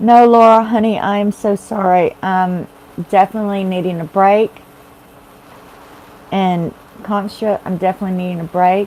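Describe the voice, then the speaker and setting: A woman with a Texas accent speaks at medium pitch and a moderate pace in a flat monotone, leaving long, frequent pauses amid noticeable background noise. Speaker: tarot reader. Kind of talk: live-stream tarot readings. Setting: live stream. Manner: chatty, casual.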